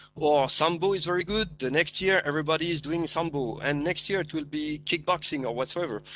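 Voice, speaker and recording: Fairly quick speech in a slight Malaysian accent, with hardly any pauses. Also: man, fairly high pitch for a man, ordinary pitch variation. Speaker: martial arts practitioner, panelist. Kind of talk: online panel discussion. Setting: live online forum. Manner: hesitant, many fillers.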